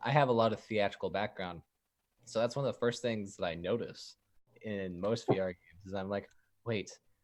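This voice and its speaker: The recording is very clean, with a silent background. In it, a man talks at a fairly quick pace. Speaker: game developer. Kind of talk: casual chat. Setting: live stream interview.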